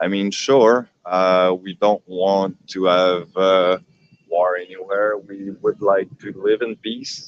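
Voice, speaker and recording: A man with a slight Quebec accent speaks very slowly in a fairly low voice. The sound is dry and close, with no echo. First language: French. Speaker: livestreamer. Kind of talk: live street stream commentary. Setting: outdoors at a protest. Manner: hesitant, many fillers.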